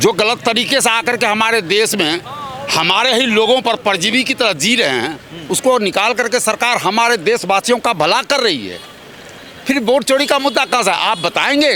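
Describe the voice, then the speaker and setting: Over noticeable background noise, the speaker uses a raised, projected voice with ordinary pitch variation. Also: man. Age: 60s. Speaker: interviewee in street public interview. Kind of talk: political street interview.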